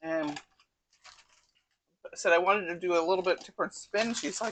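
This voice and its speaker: A woman with a normal speaking voice talks at a fairly quick pace and medium pitch, keeping her intonation fairly even while her loudness swings widely. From US Northeast (Connecticut). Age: 60s. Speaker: cooking channel host. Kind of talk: casual cooking tutorial.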